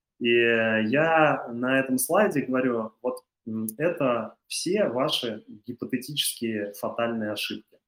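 This man talks at a very slow pace and a medium pitch. His pitch varies in an ordinary way. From Russia, Chuvashia (Cheboksary). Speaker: creative industries entrepreneur. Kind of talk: interview. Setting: studio. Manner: halting, many fillers.

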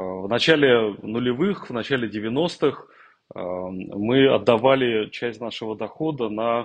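Lively intonation from a man at medium pitch. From Russia, Tambov. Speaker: corporate executive. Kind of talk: interview.

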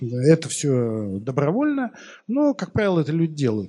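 Dark, mellow tone from a man at a moderate pace. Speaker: economics professor. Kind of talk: lecture. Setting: stage with audience. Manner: informal, many filler words.

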